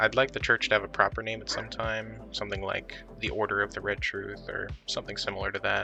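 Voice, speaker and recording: Soft-spoken, a man talks at a fairly quick pace with a fairly low pitch while music plays in the background. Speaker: worldbuilding artist. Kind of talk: casual talk about own creative process. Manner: soft-spoken, quiet.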